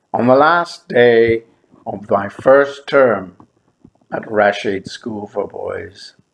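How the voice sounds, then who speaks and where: In an Irish accent, a man speaks at a very slow pace. His medium pitch shows ordinary variation. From Ireland. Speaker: memoir storyteller, former teacher. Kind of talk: memoir narration.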